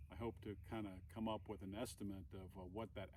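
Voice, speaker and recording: Dark, mellow tone with a somewhat breathy quality. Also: man. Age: 60s. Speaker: hiker and vlogger, Navy veteran. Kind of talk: vlog announcement. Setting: outdoors on a trail. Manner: halting, many fillers.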